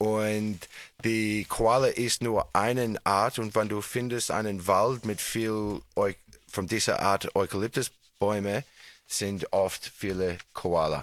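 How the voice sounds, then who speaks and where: With a non-native accent, a man speaks at a very slow pace in a fairly low voice. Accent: foreign, non-native German. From Australia. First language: English (speaking German). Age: 40s. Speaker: radio show host. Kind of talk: casual chat with children. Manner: halting.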